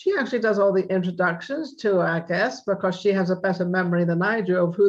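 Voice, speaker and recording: A woman with a plain, everyday voice speaks at a fairly quick pace and a medium pitch. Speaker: talk show host. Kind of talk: talk show hosting.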